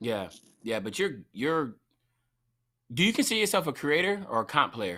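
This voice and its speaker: Speaking at a moderate pace with long, frequent pauses, a man with an American accent has a fairly high pitch, very wide pitch swings, a bright, sharp tone and vocal fry. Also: very clean recording, silent background. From Fayetteville, North Carolina. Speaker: podcast host. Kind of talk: podcast interview. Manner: casual.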